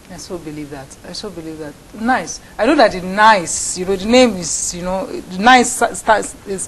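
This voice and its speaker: A woman with a Nigerian accent speaks at a moderate pace in a medium pitch, her intonation lively and her loudness swinging widely, over noticeable background noise. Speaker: TV talk show host. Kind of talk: interview. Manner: animated.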